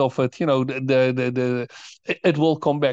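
A man with a Dutch accent talks in a fairly high pitch, his voice dry and close with no echo against a quiet background. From Netherlands. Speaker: author and think tank founder. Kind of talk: interview. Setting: remote call. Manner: halting, many repetitions.

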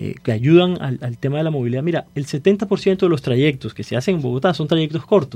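Over a quiet background, a man speaks with a dark, mellow, somewhat breathy tone. His pace is fairly quick, with lively intonation and hardly any pauses. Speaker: city council candidate. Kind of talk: radio panel discussion.

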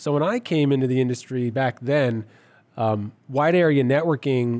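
An unremarkable speaking voice moves at a fairly quick pace with ordinary pitch variation in a very clean recording with a silent background. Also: man. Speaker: network architect. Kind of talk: casual chat.

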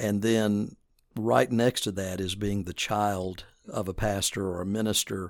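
Fairly even in intonation and fairly slow, a plain, everyday voice with an American accent comes through on a very clean recording with a silent background. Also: man. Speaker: denominational ministry staff, former pastor. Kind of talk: interview.

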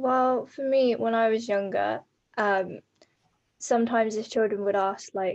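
A woman with an English accent at a moderate pace, her intonation fairly even, against a quiet background. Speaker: adoptee guest. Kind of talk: casual chat.

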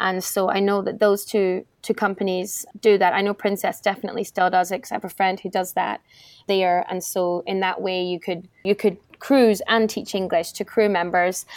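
In a Scottish accent, a woman speaks at a moderate pace and a medium pitch, her intonation monotone and flat. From Scotland, Edinburgh. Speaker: travel blogger and former cruise ship entertainer. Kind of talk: interview.

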